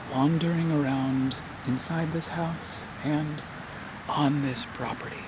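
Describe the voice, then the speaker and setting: Noticeable background noise beneath a very slow delivery. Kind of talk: ASMR softly spoken reflection. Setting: outdoors.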